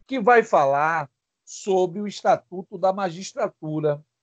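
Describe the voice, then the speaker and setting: Recorded with a dry, close sound with no echo, a man with a high pitch speaks at a very slow pace with ordinary pitch variation. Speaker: law teacher. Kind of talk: lecture.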